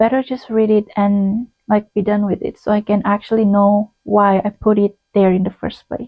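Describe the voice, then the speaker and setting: Speaking with a non-native accent, the voice runs on with hardly any pauses in a monotone, flat intonation. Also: woman, medium pitch for a woman, moderate pace. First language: not English. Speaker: booktuber. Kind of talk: casual monologue video. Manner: conversational with fillers and self-corrections.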